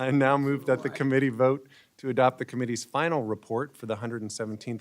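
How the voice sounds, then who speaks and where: A man rattles along at a very fast pace with fairly even intonation. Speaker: committee chair. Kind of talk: formal procedural meeting. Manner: formal.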